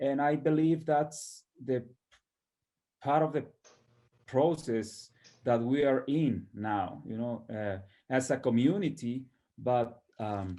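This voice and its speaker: In a very clean recording with a silent background, a man with a medium pitch and a dark, mellow tone speaks at a very slow pace. He uses ordinary pitch variation and long, frequent pauses. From northern Mexico. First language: Spanish. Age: 30s. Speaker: potter. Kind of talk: interview. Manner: halting.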